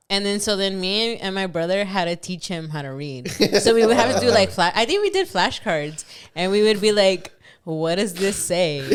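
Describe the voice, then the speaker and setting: Her voice is a normal speaking voice, a woman's at medium pitch with ordinary pitch variation and a moderate pace. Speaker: podcast co-host. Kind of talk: casual chat. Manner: casual.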